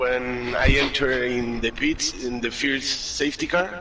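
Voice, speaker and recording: Over noticeable background noise, a man at medium pitch talks at a very slow pace with lively intonation. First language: not English. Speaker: sim racing driver. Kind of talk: post-race interview. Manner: halting.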